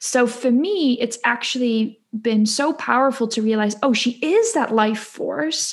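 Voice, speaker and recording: A woman with a Dutch accent speaks at a fairly slow pace and a high pitch, with ordinary pitch variation, very even loudness and hardly any pauses. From Netherlands. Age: 20s. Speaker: spiritual coach and podcaster. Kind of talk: casual interview.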